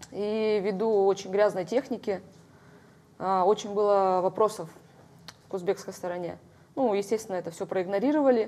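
A woman with a dark, mellow tone talks at a moderate pace with fairly even intonation. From Kamchatka, Russia. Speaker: hand-to-hand combat world champion; guest. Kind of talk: studio interview. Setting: TV studio. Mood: calm, slightly reflective. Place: studio. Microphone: lapel.

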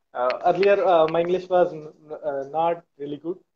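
Speaking at a moderate pace, a man holds fairly even intonation.

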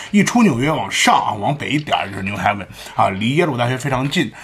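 Over faint background music, a man speaks very fast in an animated tone with very wide pitch swings. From China. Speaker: commentary vlogger. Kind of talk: casual commentary monologue. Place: home room. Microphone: studio mic.

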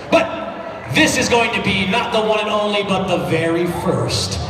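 A man speaks over loud background noise. The room echo is audible. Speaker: competition emcee. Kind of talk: event announcement. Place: hall. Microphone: pa.

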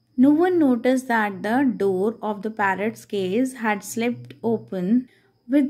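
Against a quiet background, a woman with an Indian accent speaks at a fairly slow pace in a somewhat breathy, fairly high voice with lively intonation. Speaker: teacher. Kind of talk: lesson explaining an English text in Hindi. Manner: reading aloud English passages. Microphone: phone near.

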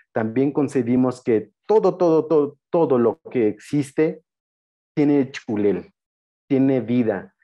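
A man with a Chiapas accent and ordinary pitch variation against a quiet background. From Tenejapa, Chiapas, Mexico; Chiapas, Mexico. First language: Tzeltal (speaking Spanish). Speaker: anthropologist and spiritual guide; spiritual guide. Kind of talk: lecture. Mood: calm, warm, reflective. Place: home room. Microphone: video call.

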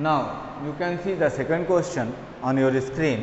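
In an Indian accent, a man speaks at a fairly high pitch with ordinary pitch variation. Audible room echo and light background noise are present. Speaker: maths teacher. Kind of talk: lecture. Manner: code-switching Hindi and English. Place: classroom. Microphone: camera far.

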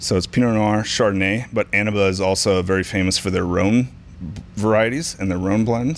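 Ordinary pitch variation from a man, with light noise behind. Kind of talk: interview answer.

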